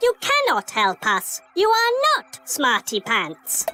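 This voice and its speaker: This is a cartoonish character voice pitched high. It moves at a fairly slow pace. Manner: formal, stilted, no contractions; literal, matter-of-fact.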